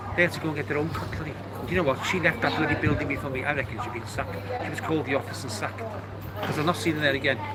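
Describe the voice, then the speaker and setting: A man's very fast, lively speech with audible room echo and noticeable background noise. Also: medium pitch for a man. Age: 70s. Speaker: live streamer. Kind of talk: casual chat.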